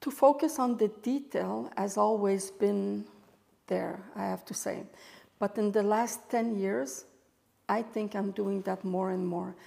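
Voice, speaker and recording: Speaking with a Quebec French accent at a fairly slow pace, a woman has a medium pitch, ordinary pitch variation and a dark, mellow tone. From Quebec, Montreal. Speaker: photographer and artist. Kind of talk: interview.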